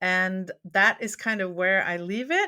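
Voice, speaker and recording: A voice with a Norwegian accent talks at a moderate pace in a bright, sharp tone. The recording is very clean, with a silent background. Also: woman. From Norway. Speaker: memoirist and former academic. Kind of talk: interview conversation.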